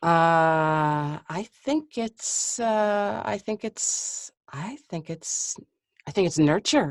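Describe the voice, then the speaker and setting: In a dry, close recording with no echo and a quiet background, a woman with a fairly low pitch speaks at a very slow pace with lively intonation. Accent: American. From US Midwest, Chicago. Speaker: voice actor. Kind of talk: interview.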